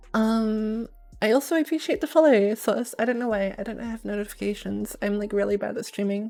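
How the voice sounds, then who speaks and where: A woman with an Australian accent, a dark, mellow tone and fairly high pitch, at a moderate pace. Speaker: streamer. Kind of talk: casual live stream chat. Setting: home at night, live stream.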